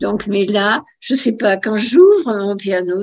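A woman is speaking with ordinary pitch variation. The background is quiet. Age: 80s+. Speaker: amateur pianist. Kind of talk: interview answer. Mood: warm, reminiscing. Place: home room. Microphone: video call.

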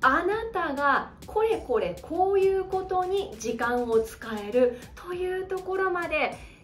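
A woman's voice swings very widely in pitch while music plays in the background. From Hokkaido, Japan. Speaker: speaking coach; narrator, former radio announcer. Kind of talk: educational talk to camera. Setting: home living room. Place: home room.

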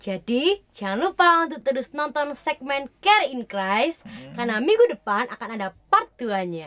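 A woman's high-pitched, bright and sharp voice at a fairly slow pace, with very wide pitch swings, big swings in loudness and hardly any pauses. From Indonesia. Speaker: church youth co-host, university student; church youth co-host. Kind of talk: casual chat. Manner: forceful, loud. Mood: earnest personal sharing. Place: studio.

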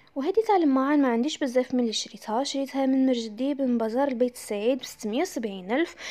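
A woman with an Algerian accent, high-pitched and with lively intonation, at a very fast pace with hardly any pauses. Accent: Algerian Arabic with French loanwords. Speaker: home vlogger. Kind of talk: casual talk to camera, home tour. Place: kitchen. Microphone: phone near.

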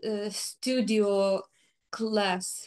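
A woman speaks at a very slow pace in a Ukrainian accent. Her pitch is fairly high and the background is quiet. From Ukraine. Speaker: flutist. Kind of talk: interview. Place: home room.

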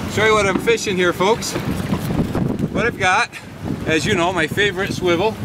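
Loud background noise runs under a man's voice, with a dry sound and no echo. He keeps a moderate pace and ordinary pitch variation. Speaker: fishing show host. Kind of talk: casual commentary. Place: boat.

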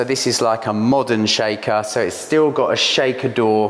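At a fairly slow pace, a man speaks in a monotone with flat intonation. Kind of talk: tutorial. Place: kitchen.

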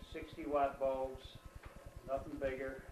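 Amid light background noise and audible room echo, a man with an American accent talks very slowly at a fairly high pitch. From New Jersey, USA. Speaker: interviewed grandfather. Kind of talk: interview answer. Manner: hesitant, reflective. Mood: calm reminiscing. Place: home room. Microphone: camera far.

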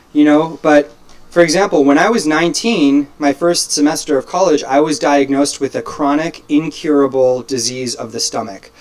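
Over noticeable background noise, a man with an American accent speaks at a moderate pace, with fairly high pitch and ordinary pitch variation. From Los Angeles, US. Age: 20s. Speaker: life coach and motivational speaker. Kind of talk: casual interview chat. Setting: home studio, hot room with a fan.

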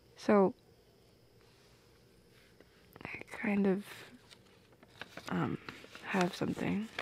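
A woman uses a put-on character voice at medium pitch, slow and with fairly even intonation. Her slightly mellow tone has a slightly husky edge and vocal fry, with a dry, close sound and no echo.

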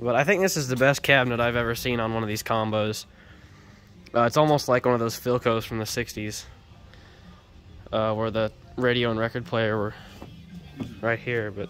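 Faint music plays in the background as the speaker moves at a moderate pace with fairly even intonation and long, frequent pauses. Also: man. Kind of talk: casual show-and-tell commentary. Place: garage. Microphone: phone near.

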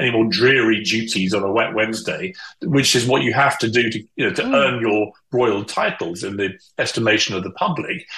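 Audible room echo surrounds a man who talks at a fairly quick pace with ordinary pitch variation against a quiet background. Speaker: remote guest host. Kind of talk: interview answer. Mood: scornful, indignant. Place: home room.

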